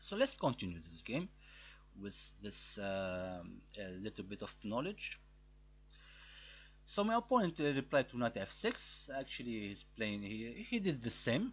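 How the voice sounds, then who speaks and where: His accent is non-native. The man keeps a medium tempo. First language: not English. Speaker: chess YouTuber. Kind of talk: tutorial. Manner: halting.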